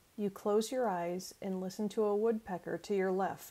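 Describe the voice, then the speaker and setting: A woman's voice carries a dark, mellow tone that is soothing and warm. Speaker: life coach. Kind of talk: guided imagery meditation, second-person sensory narration. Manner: slow, soothing, gently paced with calming pauses; warm, encouraging and friendly. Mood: calm, soothing. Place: home room. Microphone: earbuds.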